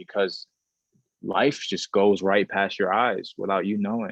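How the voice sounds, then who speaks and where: The speaker has a New York accent and a moderate pace. The intonation stays fairly even. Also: man. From Bronx, New York. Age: 20s. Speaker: model and social media influencer. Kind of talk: interview. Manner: casual, repetitive with restarts.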